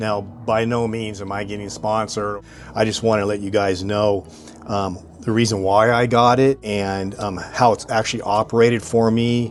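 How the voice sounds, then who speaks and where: Against noticeable background noise, a man with a fairly low pitch speaks in a monotone, flat intonation at a moderate pace. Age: 60s. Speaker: RV owner reviewing gear. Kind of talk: product review tutorial. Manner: casual, filler-heavy.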